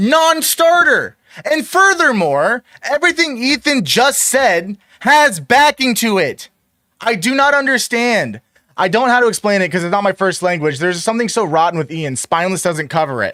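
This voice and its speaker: A man uses a raised, projected voice at an extremely high pitch, with a bright, sharp tone and very wide pitch swings. His tone is animated, and the sound is dry and close with no echo. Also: moderate pace. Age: 20s. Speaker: streamer reacting to videos. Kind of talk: reaction commentary.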